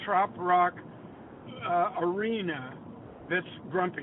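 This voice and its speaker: Over noticeable background noise, the speech comes at a very slow pace. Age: 80s+. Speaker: songwriter. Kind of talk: casual interview. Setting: phone call. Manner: animated.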